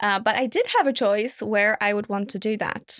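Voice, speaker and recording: On a very clean recording with a silent background, a woman talks with fairly even intonation. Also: dry, close sound with no echo. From Poland. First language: Polish. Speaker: interior designer. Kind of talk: interview.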